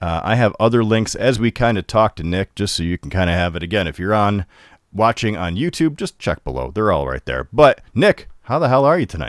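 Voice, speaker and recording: A man with a northern US accent talks at a fairly quick pace in a fairly low pitch, with vocal fry and very wide pitch swings, in a very clean, dry, close recording with a silent background and no echo. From Upstate New York. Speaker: comics show host. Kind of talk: interview.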